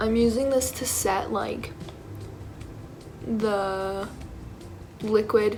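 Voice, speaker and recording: Against music in the background and audible room echo, a woman with a fairly high pitch speaks at a very slow pace in a monotone, flat intonation, leaving long, frequent pauses. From England, moved to Canada at five. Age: 20s. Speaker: beauty vlogger, student. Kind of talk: makeup tutorial. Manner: casual, hesitant with fillers.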